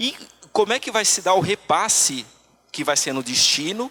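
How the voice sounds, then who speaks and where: The speech moves at a moderate pace with lively intonation. Noticeable background noise is present. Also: man. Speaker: tax auditor, conference speaker. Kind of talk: conference talk. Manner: halting, many fillers.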